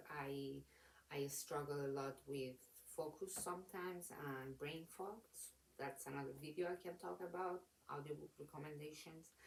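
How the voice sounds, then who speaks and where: A woman's very deep, low voice with a non-native accent. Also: ordinary pitch variation, moderate pace. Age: late 20s. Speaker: book reviewer. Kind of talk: casual talk to camera. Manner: rambling, hesitant.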